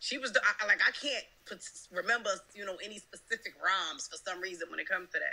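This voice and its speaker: A woman's very fast, animated speech with big swings in loudness amid noticeable background noise. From New Jersey. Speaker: rapper. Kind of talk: casual chat.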